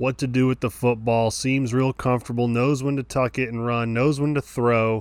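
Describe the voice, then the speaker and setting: With a plain, everyday voice, a man of medium pitch talks with fairly even intonation. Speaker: podcast co-host, sports fan. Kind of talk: casual chat.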